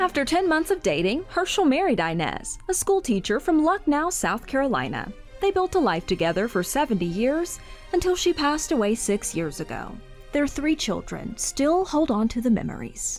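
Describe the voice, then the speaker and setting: Music plays in the background as a woman speaks at a moderate pace, her high pitch swinging very widely. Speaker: TV reporter. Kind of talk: TV news feature narration.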